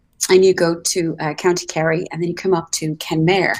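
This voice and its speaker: Speaking with an Irish accent, a woman keeps a moderate pace. Her fairly low voice holds fairly even intonation. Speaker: travel show host. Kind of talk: live broadcast chat. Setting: live video call from a hotel. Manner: soft-spoken, kept low.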